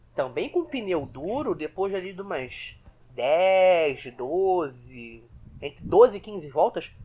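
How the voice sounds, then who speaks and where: Fairly slow speech against a quiet background. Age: 20s. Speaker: Formula 1 podcast co-host. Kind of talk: casual chat.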